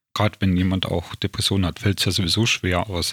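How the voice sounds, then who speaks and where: His pitch sits very deep and low. This man keeps his intonation fairly even. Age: 40s. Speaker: self-help group organizer and podcast host. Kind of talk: casual chat.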